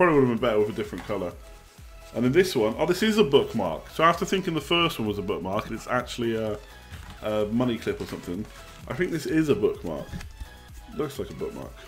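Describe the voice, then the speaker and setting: A man at a very fast pace with long, frequent pauses, music in the background. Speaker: live streamer. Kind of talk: casual, informal.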